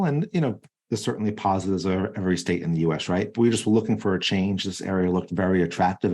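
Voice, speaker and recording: A man with an American accent speaks at a very fast pace in a fairly low pitch, his tone dark and mellow against a quiet background. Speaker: cybersecurity executive. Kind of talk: podcast interview.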